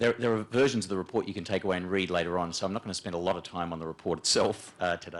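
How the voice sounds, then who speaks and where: A man's very deep, low voice in a strong Australian accent, with ordinary pitch variation, at a very fast pace, on a very clean recording with a silent background. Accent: broad Australian. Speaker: management consultant, panelist. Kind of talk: panel discussion presentation. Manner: hesitant, many fillers and repetitions.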